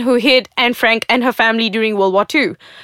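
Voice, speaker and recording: Over a very clean recording with a silent background, a woman with a Malaysian accent talks at a fairly quick pace and a high pitch, with a bright, sharp tone in a dry, close sound with no echo. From Malaysia, Johor. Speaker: podcast host, writer and video producer. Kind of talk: opinion monologue. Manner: animated.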